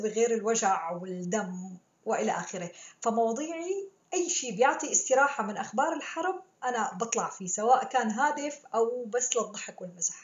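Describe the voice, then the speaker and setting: A woman with a Damascus accent speaks at a moderate pace in a high pitch, with very wide pitch swings. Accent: Levantine Arabic (Syrian, Damascene). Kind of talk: interview.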